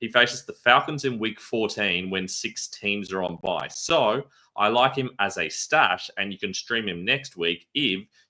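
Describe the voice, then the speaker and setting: In an Australian accent, a man talks at a moderate pace and a fairly low pitch, with a bright, sharp tone, ordinary pitch variation, and a very clean recording with a silent background. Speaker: fantasy football analyst. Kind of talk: scripted analysis video.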